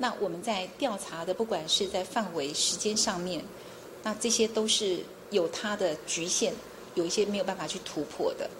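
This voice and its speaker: Soft-spoken, a woman talks at a medium pitch and moderate pace with ordinary pitch variation amid noticeable background noise. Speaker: chief prosecutor. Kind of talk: interview.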